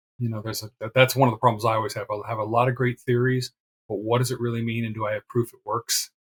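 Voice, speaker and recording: A man speaks with fairly even intonation and a somewhat breathy voice, in a dry, close sound with no echo. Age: 60s. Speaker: retired internal auditor and blogger. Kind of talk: interview. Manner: casual.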